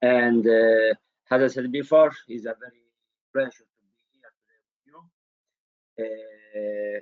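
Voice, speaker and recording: Here a man speaks with a strong Italian accent. His intonation stays fairly even. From Italy. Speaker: innovation consultant. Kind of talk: webinar presentation. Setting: online webinar.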